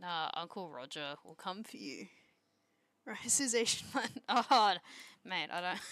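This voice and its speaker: Speech comes at a very slow pace with very wide pitch swings, long, frequent pauses and big swings in loudness, on a very clean recording with a silent background. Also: woman. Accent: Australian. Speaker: streamer. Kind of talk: casual chat.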